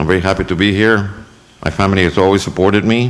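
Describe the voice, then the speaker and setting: A man's fairly low voice with an American accent and ordinary pitch variation, amid noticeable background noise. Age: 70s. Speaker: school board trustee. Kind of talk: acceptance speech. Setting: board meeting room with audience. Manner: halting, many fillers.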